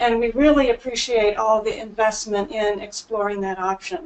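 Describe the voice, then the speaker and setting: A woman is talking. Her pitch variation is ordinary. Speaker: policy analyst. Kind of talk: public comment at a committee meeting. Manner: hesitant, many fillers.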